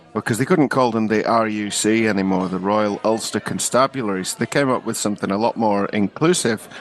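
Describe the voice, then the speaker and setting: A man's fairly low-pitched voice moves at a fairly quick pace with ordinary pitch variation. Noticeable background noise runs underneath. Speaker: comedy podcast host. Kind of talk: casual podcast banter.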